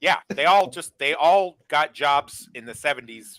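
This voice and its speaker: Speaking at a fairly slow pace, a man uses a bright, sharp tone with an American accent. The sound is dry and close with no echo, in a very clean recording against a silent background. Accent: Midwest with a touch of northeastern US. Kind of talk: casual chat.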